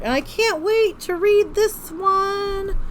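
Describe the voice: In a put-on character voice, a woman speaks very slowly with an extremely high, squeaky pitch over light background noise.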